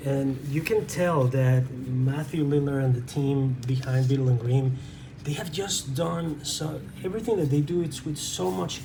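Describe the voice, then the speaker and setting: Over noticeable background noise, a man speaks with a Spanish accent at a moderate pace. Room echo is audible. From Venezuela. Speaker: tabletop game reviewer. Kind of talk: unboxing review. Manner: halting.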